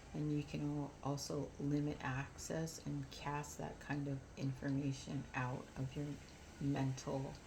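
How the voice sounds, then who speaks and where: There is audible room echo as a woman speaks at a fairly slow pace. Her pitch is very deep and low. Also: ordinary pitch variation. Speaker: spiritual vlogger. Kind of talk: casual monologue vlog. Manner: subdued, not animated.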